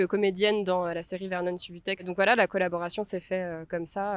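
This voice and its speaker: A woman talks at a fairly quick pace with a monotone, flat intonation. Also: very clean recording, silent background. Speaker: film director. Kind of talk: interview. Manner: halting with many fillers.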